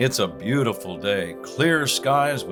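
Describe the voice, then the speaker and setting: Music plays behind a man speaking at a very slow pace. His tone is calm. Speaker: sports radio announcer. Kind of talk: humorous guided meditation in play-by-play style. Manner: calm, slow.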